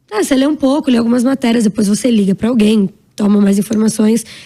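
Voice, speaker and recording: This woman has a fairly high pitch and a dark, mellow tone. She sounds somewhat breathy and talks at a very fast pace. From Brazil, São Paulo. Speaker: actress and entrepreneur. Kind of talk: interview. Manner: animated.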